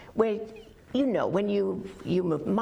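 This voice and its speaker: A moderately paced woman's voice against noticeable background noise. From England.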